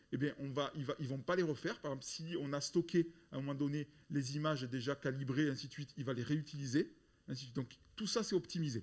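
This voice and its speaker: The speaker is a man with ordinary pitch variation. He talks at a fairly quick pace. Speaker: software developer presenting. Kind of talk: conference talk. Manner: loud; halting, many repetitions.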